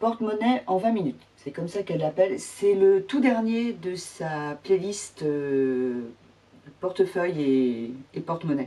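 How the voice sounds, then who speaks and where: Her pitch swings very widely as a woman talks at a very slow pace. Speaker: sewing vlogger. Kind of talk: casual tutorial vlog. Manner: hesitant, many fillers.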